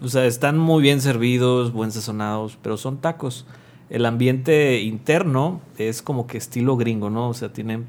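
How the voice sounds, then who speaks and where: A man in a normal speaking voice, at a fairly slow pace, with ordinary pitch variation. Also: very clean recording, silent background. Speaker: podcast co-host. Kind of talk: casual chat.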